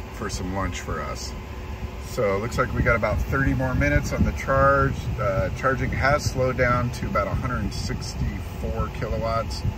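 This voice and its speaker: A man speaks at a moderate pace over loud background noise. The sound is dry, with no echo. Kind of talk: casual vlog chat. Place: car. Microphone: phone near.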